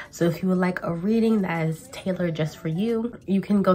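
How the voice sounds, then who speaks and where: A woman speaks with a plain, everyday voice. Her pitch is fairly low and her intonation fairly even. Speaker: tarot reader. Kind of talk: casual vlog chat. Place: home room. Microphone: camera far.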